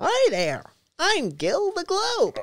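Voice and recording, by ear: An extremely high, squeaky put-on character voice carries the whole delivery.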